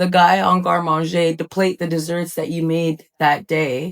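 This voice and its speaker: A woman with an ordinary speaking voice and a fairly low pitch talks at a fairly slow pace in a very clean, dry, close recording with no echo and a silent background. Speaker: podcast host. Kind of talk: casual podcast interview talk.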